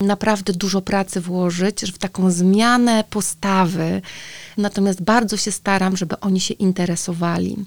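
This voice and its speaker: A woman speaks in an ordinary speaking voice at a moderate pace and medium pitch. Her intonation is fairly even, on a very clean recording with a silent background. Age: 40s. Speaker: teacher and sex educator. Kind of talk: casual chat.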